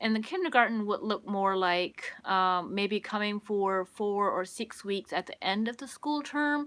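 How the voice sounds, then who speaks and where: A woman's medium-pitched voice at a fairly slow pace, with ordinary pitch variation and hardly any pauses. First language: Pennsylvania Dutch. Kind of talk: livestream casual talk. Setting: solo livestream. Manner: hesitant, many fillers.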